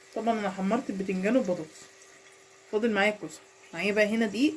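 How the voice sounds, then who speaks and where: A woman speaks at a medium pitch. She leaves long, frequent pauses over noticeable background noise. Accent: Egyptian. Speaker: cooking channel host. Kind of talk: cooking tutorial. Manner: casual.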